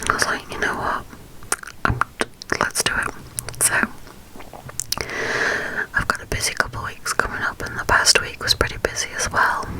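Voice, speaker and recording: A woman whispers at a moderate pace, leaving long, frequent pauses. Noticeable background noise runs underneath. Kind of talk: ASMR whisper ramble to camera. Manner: whispered, soft-spoken, chatty.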